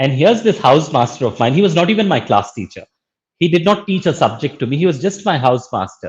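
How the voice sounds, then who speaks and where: A man with a Pakistani accent talks at a very fast pace in a fairly high pitch, his voice swinging very widely in pitch and showing vocal fry. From India, Bangalore. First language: Urdu. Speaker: social entrepreneur and educator. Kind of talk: interview.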